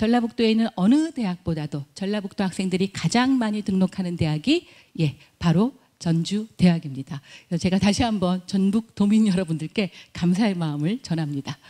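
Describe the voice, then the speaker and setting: Lively intonation marks this woman's medium-pitched voice, which has a dark, mellow tone. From Chungcheong, Korea. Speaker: university admissions director. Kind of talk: admissions presentation. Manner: formal.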